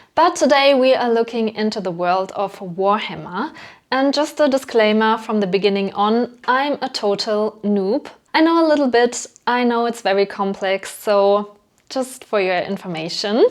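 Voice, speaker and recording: A woman with a German accent talks at a moderate pace, her fairly high voice carrying lively intonation. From Germany. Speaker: hobby YouTuber. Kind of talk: casual vlog narration. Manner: casual, with fillers.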